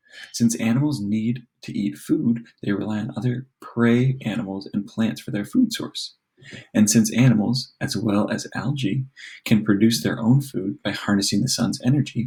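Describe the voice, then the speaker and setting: The tone is dark and mellow, and somewhat breathy. Intonation stays fairly even. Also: man, medium pitch for a man. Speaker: teacher. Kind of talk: reading aloud. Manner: fast.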